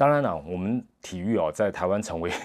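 A man speaks at a moderate pace with a very deep, low pitch and lively intonation. The recording is very clean, with a silent background. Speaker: sports commentator and podcast host. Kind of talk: monologue podcast commentary. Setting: hotel room. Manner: soft-spoken; hesitant with many fillers.

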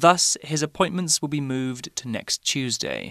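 With a British accent, a man speaks in a bright, sharp, fairly high voice with fairly even intonation and a dry, close sound with no echo. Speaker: English teacher podcast host. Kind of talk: language lesson. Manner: clear, deliberate.

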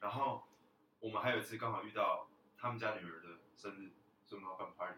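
This man talks at a fairly quick pace, his loudness swinging widely, broken up by long, frequent pauses. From Taiwan, moved to US at about 13. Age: 20s. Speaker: college student, former exchange student. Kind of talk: casual chat.

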